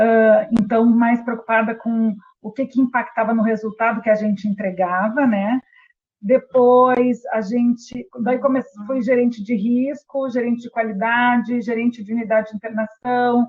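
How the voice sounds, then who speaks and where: A woman speaks with a strong Rio Grande do Sul accent at a fairly high pitch, her intonation monotone and flat. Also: fairly slow pace. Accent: strong gaúcho (Rio Grande do Sul). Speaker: healthcare quality and patient safety specialist. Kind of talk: webinar presentation. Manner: hesitant, many fillers.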